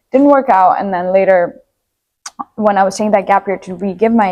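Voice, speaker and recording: Here a woman speaks in an Armenian accent. Her pitch is medium and her pace fairly quick. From Nepal. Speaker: university student. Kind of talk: podcast interview.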